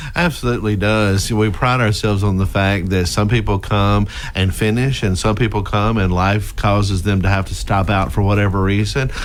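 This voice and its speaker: In a Mississippi accent, a man talks at a moderate pace and a fairly low pitch with hardly any pauses, fairly even intonation, very even loudness and audible room echo. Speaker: university president. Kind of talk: radio interview. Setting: radio studio.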